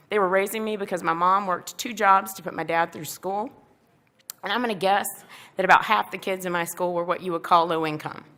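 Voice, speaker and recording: In a strong Southern US accent, a woman at medium pitch talks at a fairly quick pace with fairly even intonation and big swings in loudness. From US South, Columbia, South Carolina. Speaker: national park deputy superintendent. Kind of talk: keynote speech. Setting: stage with audience at dinner event.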